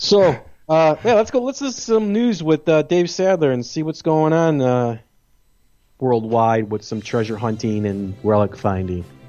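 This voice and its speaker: Over music in the background, a man with a fairly high pitch speaks at a moderate pace, his voice making very wide pitch swings. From United States. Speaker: podcast host. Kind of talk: casual chat. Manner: animated.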